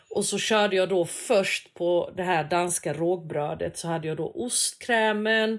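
A woman talks at a medium pitch with ordinary pitch variation, a normal speaking voice. Her pace is fairly slow, with hardly any pauses. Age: 40s. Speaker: food podcast co-host. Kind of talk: casual chat.

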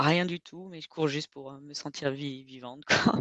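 Dry, close sound with no echo, ordinary pitch variation, and a quiet background. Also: woman. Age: 30s. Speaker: ultra-trail runner. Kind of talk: casual interview.

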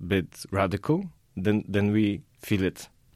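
Speaking at a fairly slow pace in a Polish accent, a man with a fairly low pitch and ordinary pitch variation comes through on a very clean recording with a silent background. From southern Poland. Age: young. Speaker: artist. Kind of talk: interview. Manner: halting.

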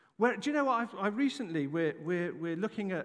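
A man speaks with an English accent. The recording is very clean, with a silent background. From England. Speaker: pastor. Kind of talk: sermon. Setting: church. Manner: animated.

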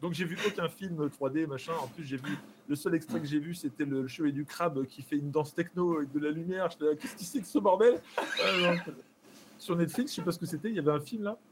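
This man talks at a fairly quick pace in a fairly high pitch, with ordinary pitch variation and noticeable background noise behind him. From France, Charente-Maritime. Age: 30s. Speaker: streamer. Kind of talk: casual chat. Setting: live stream.

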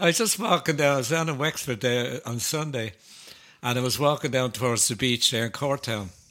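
The speaker has an Irish accent and a bright, sharp tone. Delivery is fairly quick, with ordinary pitch variation. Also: man, medium pitch for a man. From Ireland. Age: 70s. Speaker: folk ballad singer. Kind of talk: casual chat.

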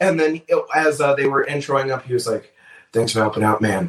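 Fairly high in pitch, a man with an American accent and an unremarkable speaking voice speaks with lively intonation. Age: 20s. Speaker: stand-up comedian. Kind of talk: casual chat.

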